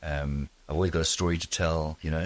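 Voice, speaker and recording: The man talks at a moderate pace. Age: 60s. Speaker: family doctor. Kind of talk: podcast interview. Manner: halting, with fillers and repeats.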